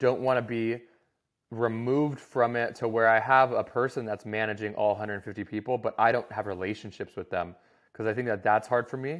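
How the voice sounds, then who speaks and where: In a plain, everyday voice with an American accent, someone talks at a fairly quick pace against a quiet background. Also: man. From US Southwest (Scottsdale, Arizona). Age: 30s. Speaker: former pro hockey player, content agency founder. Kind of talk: casual interview chat.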